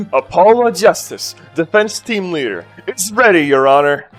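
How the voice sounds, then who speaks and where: Booming in a put-on character voice, the speaker projects a raised voice at a middle pitch and moderate pace over faint music in the background. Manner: bold, confident, announcing.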